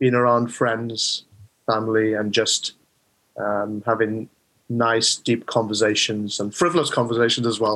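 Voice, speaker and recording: A man speaks in a South Wales accent at a fairly slow pace, his medium-pitched voice monotone and flat. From South Wales, the Rhondda. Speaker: mind coach. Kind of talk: interview.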